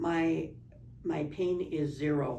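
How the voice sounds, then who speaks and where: A woman's dark, mellow, monotone delivery with flat intonation and vocal fry, at a very slow pace, with audible room echo. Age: 70s. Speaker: spine surgery patient. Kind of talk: testimony.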